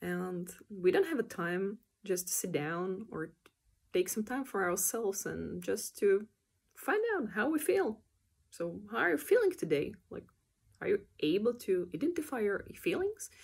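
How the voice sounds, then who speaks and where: The pace of this woman's speech is fairly slow. She has a non-native accent. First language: not English. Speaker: animator. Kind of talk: casual vlog explanation. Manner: hesitant, with many fillers.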